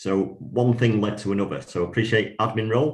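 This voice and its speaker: A man speaks with a northern English accent at a moderate pace. His pitch varies in an ordinary way, and the background is quiet. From northwest England. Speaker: IT director. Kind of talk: podcast interview. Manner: hesitant, many fillers.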